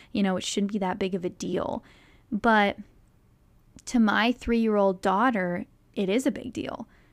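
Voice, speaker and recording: On a very clean recording with a silent background, a woman speaks at medium pitch and a moderate pace. Her intonation is fairly even, with long, frequent pauses. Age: 20s. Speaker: podcast host. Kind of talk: casual monologue. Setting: studio.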